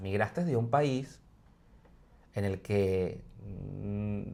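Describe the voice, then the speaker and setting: Lively intonation marks a man's speech in a Venezuelan accent. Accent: Venezuelan accent noticed by Spaniards. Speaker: podcast co-host. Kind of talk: casual debate discussion.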